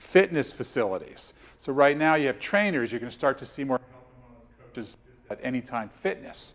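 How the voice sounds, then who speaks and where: Speaking at a fairly quick pace, a man with a medium pitch swings widely in loudness. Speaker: health coach and speaker. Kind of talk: presentation to coaches. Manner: fast; animated.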